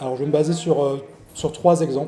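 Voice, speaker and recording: A somewhat breathy, dark, mellow voice with fairly even intonation and audible room echo. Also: man. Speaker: historical fencing instructor. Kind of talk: lecture. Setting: venue with live audience. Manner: fast; mumbling.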